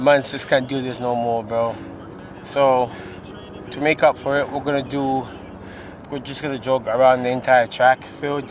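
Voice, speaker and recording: Amid noticeable background noise, a man with a non-native accent speaks in a flat monotone, with long, frequent pauses. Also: medium pitch for a man, moderate pace. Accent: noticeable non-native pronunciation. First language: not English. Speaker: vlogger. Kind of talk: casual vlog chat. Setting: outdoors at a track, then a store.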